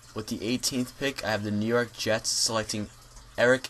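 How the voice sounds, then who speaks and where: The voice comes in a monotone, flat intonation against noticeable background noise. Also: man. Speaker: YouTuber, NFL draft analyst. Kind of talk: solo video commentary. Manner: halting, many fillers and self-corrections.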